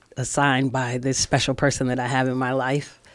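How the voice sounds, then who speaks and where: Her pitch is very deep and low for a woman. She speaks at a fairly slow pace, with monotone, flat intonation. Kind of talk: casual chat.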